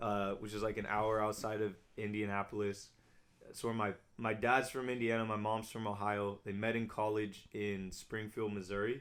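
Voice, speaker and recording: This man speaks with an American accent and a fairly low pitch. He moves at a moderate pace. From Southern California. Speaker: youth ministry director. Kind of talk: casual chat. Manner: loud; animated.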